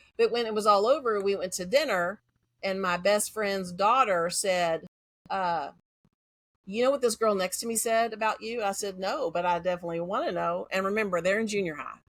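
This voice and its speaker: At a fairly quick pace, a woman with an American accent and a medium pitch talks with ordinary pitch variation on a very clean recording with a silent background. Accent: Texas accent, denied by herself. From Central Texas. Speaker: educator. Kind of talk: interview conversation. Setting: podcast. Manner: fast.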